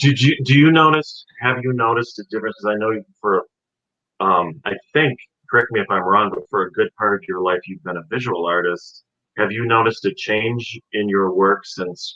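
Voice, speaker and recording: An unremarkable speaking voice moves at a moderate pace. Its intonation is lively. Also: man. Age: 40s. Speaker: actor and author. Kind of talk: interview conversation.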